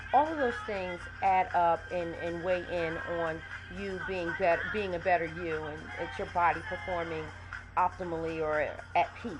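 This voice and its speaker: A woman speaks at a moderate pace. Music plays in the background, and the room echo is audible. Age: 40s. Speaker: life coach and vlogger. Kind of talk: casual vlog monologue. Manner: conversational with frequent fillers.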